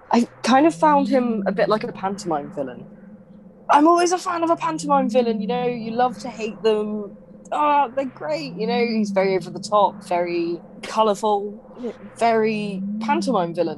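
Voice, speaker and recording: A woman's fairly high voice with very wide pitch swings, against noticeable background noise. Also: moderate pace. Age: 20s. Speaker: podcast co-host. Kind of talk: casual chat.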